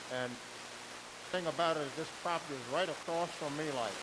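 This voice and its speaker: Audible room echo surrounds a man with a fairly high pitch who talks at a moderate pace with fairly even intonation. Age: 80s+. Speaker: retired navy veteran, resident. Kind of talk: public comment. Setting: public meeting at a mic.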